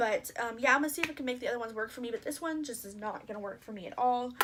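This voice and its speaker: At a very fast pace, a woman speaks with a high pitch and ordinary pitch variation over noticeable background noise. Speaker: beauty vlogger. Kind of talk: casual vlog talk. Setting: at home after shower.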